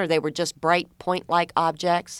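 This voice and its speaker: A woman's fairly low voice in a Southern US accent, on a very clean recording with a silent background. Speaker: radio host. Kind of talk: radio interview.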